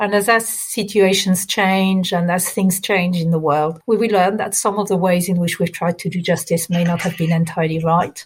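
A woman speaks at a moderate pace with medium pitch and hardly any pauses. Her voice is somewhat breathy, with fairly even intonation. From France. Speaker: priest and theologian. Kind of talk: interview.

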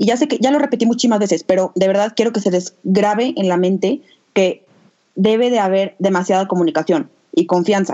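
Her voice dark and mellow, a woman speaks at medium pitch and a moderate pace with ordinary pitch variation. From Mexico, Aguascalientes. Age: 20s. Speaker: podcast co-host, entrepreneur. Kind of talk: casual chat.

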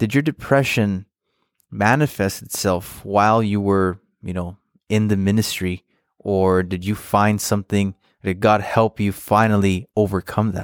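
In a very clean recording with a silent background and a dry, close sound free of echo, a man talks at a fairly slow pace in a normal speaking voice, fairly low in pitch with fairly even intonation. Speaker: podcast host and interviewer. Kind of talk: scripted intro and outro, then interview questions.

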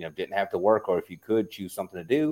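A man with a South Louisiana accent and a fairly low pitch talks at a very fast pace on a very clean recording with a silent background. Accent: South Louisiana Southern US. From US South, South Louisiana. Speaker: app founder. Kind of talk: podcast interview.

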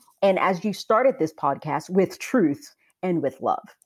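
A woman has a normal speaking voice at a medium pitch, with lively intonation and a fairly slow pace. The recording is very clean, with a silent background. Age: 40s. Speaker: writer and editor. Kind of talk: interview.

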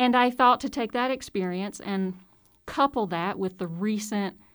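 Someone speaks with a Southern US accent at a fairly slow pace and with lively intonation on a very clean recording with a silent background. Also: woman. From Mississippi. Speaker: college professor. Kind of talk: casual interview. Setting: studio.

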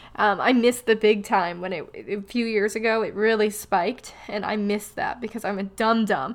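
Over noticeable background noise, a woman speaks with hardly any pauses. Her fairly high pitch stays in fairly even intonation. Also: fairly quick pace. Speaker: podcast host. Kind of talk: casual solo podcast monologue. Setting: recorded in advance, solo. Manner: chatty, humorous, self-deprecating.

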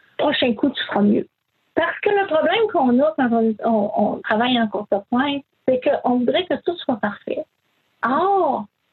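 A woman's high-pitched voice with very wide pitch swings, very even loudness and a fairly slow pace. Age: 60s. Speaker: quilter and retired nurse. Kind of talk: interview.

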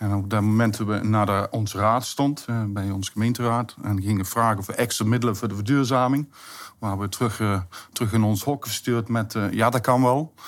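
This man has a plain, everyday voice, medium in pitch, with fairly even intonation and a moderate pace. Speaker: municipal contracts manager. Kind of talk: interview.

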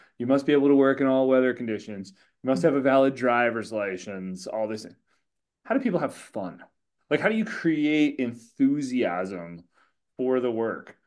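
Against a quiet background, a man speaks in an ordinary speaking voice at medium pitch. He keeps a moderate pace with lively intonation. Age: 40s. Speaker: podcast host. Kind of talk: interview.

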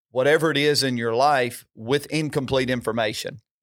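A man talks in a normal speaking voice at medium pitch with fairly even intonation. The recording is very clean, with a silent background. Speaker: senior pastor. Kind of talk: sermon-style devotional chat. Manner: warm, encouraging.

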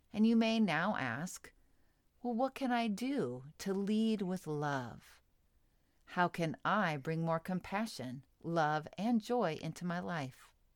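Over a very clean recording with a silent background, a woman speaks very slowly in a soothing, gentle tone at a fairly low pitch, with very wide pitch swings. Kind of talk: guided meditation. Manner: soothing, slow and gentle, with calm pauses; warm, inviting, and nurturing.

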